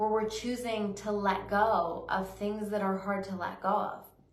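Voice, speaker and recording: Amid noticeable background noise and audible room echo, a woman with a fairly high pitch talks at a fairly slow pace. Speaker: psychic medium and intuitive life coach. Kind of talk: weekly spiritual reading monologue. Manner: slower, unhurried pace today; halting, with hesitations.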